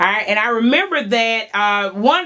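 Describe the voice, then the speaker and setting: Amid noticeable background noise, a woman with an Alabama accent talks at a moderate pace with a fairly high pitch and ordinary pitch variation. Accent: US South, Alabama. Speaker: talk show host. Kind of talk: interview.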